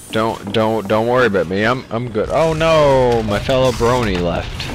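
Music plays in the background as a man speaks at medium pitch. His pace is moderate, with ordinary pitch variation. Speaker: gamer. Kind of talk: casual gameplay commentary. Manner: stammering.

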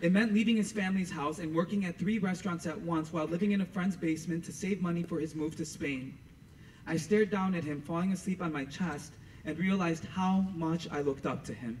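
Over light background noise, a man with a high pitch speaks at a fairly quick pace. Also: ordinary pitch variation. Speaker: storyteller. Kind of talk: storytelling performance. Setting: stage with audience. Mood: intimate, reflective, candid. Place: street.

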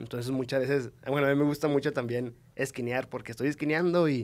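Very fast speech comes from a man whose intonation stays fairly even. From Mexico, Monterrey; Nuevo León, Mexico. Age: 20s. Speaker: mixed martial arts fighter; podcast guest. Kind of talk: casual chat. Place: studio. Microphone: studio mic.

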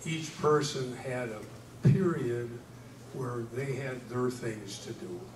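A man at a very slow pace, with ordinary pitch variation and big swings in loudness, plus audible room echo and light background noise. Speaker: retiree, panelist; panelist. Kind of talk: church adult forum panel discussion. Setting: church. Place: hall.

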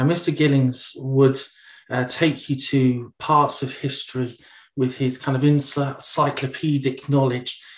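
A somewhat breathy man with a British accent, fairly high in pitch, fairly slow and monotone, against a quiet background. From UK. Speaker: English language teacher and trainer; ESOL teacher trainer. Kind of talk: webinar presentation. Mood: relaxed, conversational. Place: home room. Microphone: webcam.

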